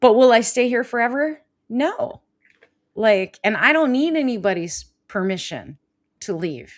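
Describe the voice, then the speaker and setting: On a very clean recording with a silent background, a woman with a high pitch and lively intonation speaks at a fairly slow pace with long, frequent pauses. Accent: American. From Southern California. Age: 50s. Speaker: life coach and live show host. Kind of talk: live show talk, casual and coaching. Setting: live stream.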